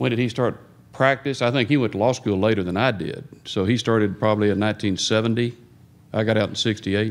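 Here a man speaks with a normal speaking voice. His pitch sits fairly low. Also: ordinary pitch variation, moderate pace. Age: 60s. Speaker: divorce lawyer. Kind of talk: audience question.

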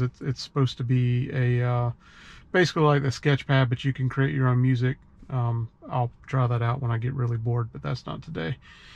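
A somewhat breathy man's voice at a moderate pace with ordinary pitch variation. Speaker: car owner reviewing software update. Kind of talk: casual tutorial commentary. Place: car. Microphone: phone near.

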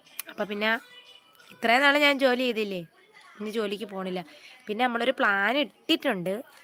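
Music plays behind a woman speaking. Her voice is fairly high, with ordinary pitch variation. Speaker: YouTuber. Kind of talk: live stream chat. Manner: casual, chatty.

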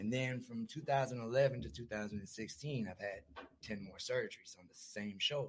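Somewhat breathy and with big swings in loudness, a man of medium pitch talks at a fairly slow pace with ordinary pitch variation and hardly any pauses. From US Midwest, Milwaukee. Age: 30s. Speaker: recovering addict sharing his story. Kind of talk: podcast interview, personal testimony. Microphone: far from the mic at first.

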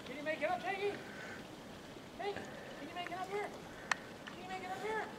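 A man talks fairly quickly while loud background noise plays around him. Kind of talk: calling dogs outdoors. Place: garden.

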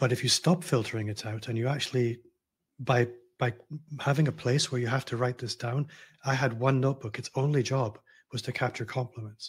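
With a Glasgow accent, a man speaks somewhat breathily at a fairly quick pace with fairly even intonation and long, frequent pauses against a quiet background. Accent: Scottish (Glasgow). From Scotland, Glasgow. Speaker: personal branding consultant. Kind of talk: casual interview conversation. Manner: easygoing. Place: home room.

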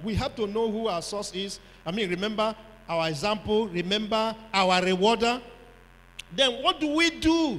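A man with a high pitch talks at a fairly slow pace. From Nigeria. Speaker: pastor; preacher. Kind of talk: sermon. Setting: church conference with audience. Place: hall. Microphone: handheld.

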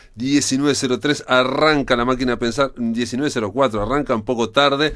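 This man has a Montevideo accent. He keeps his intonation fairly even. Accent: Rioplatense Spanish (Montevideo). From Uruguay. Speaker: radio host. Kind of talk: radio interview. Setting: radio studio. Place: studio.

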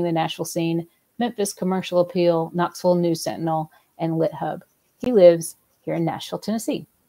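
In a Southern US accent, a woman talks at a fairly quick pace, her fairly low pitch carrying a dark, mellow tone and fairly even intonation. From US South. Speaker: volunteer session moderator. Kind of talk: moderated panel discussion. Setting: video call. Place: home room.

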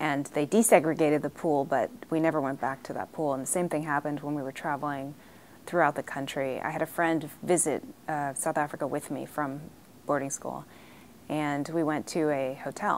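Over light background noise, a woman speaks with an American accent at a fairly quick pace. Her pitch is very deep and low, and her intonation is fairly even. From US, raised partly abroad (Ghana, Liberia). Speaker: diplomat's daughter recounting family history. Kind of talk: interview testimony. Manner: hesitant, frequent fillers. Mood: reflective, at times emotional. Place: meeting room. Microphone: lapel.

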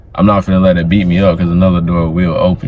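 A man talks at a very fast pace. Light background noise can be heard. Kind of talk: casual conversation. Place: car. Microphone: phone near.

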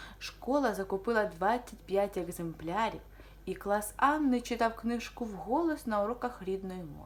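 An unforced reading voice moves with ordinary pitch variation.

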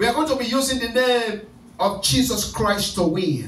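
A loud, animated man at a fairly slow pace with ordinary pitch variation and audible room echo. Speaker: pastor leading prayer night. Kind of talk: fervent deliverance prayer, commanding and repetitive, rebuking spirits. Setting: church service with online Zoom attendees. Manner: loud, urgent, rhythmic repetition; animated, exhorting the congregation. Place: church.

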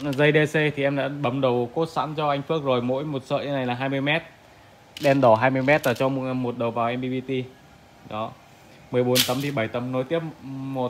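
Through noticeable background noise, a man speaks in a monotone, flat intonation with long, frequent pauses. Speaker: solar equipment seller. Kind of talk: product walkthrough commentary. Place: shop. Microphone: phone near.

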